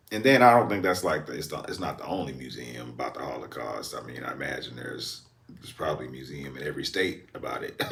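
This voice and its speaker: In an American accent, a man with a very deep, low pitch races along at a very fast pace with hardly any pauses. His pitch swings very widely, his loudness shifts a lot, and the room echo is audible. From Texas, Houston. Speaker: reaction video creator. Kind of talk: reaction commentary. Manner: halting.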